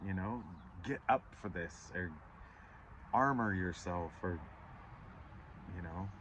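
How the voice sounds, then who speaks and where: With a very deep, low pitch and ordinary pitch variation, a man speaks at a very slow pace, leaving long, frequent pauses. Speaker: tarot reader. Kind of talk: tarot reading. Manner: animated; stuttering at times.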